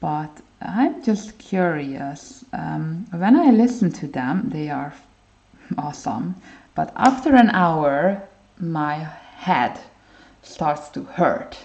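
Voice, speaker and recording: A woman with a non-native accent speaks at a very slow pace, fairly low in pitch and with vocal fry. Her pitch swings very widely. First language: not English. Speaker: art livestreamer. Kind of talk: casual livestream chat while coloring. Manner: hesitant, many fillers.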